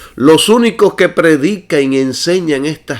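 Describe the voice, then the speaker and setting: The man speaking has a fairly high pitch and lively intonation. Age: 60s. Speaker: preacher. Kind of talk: sermon.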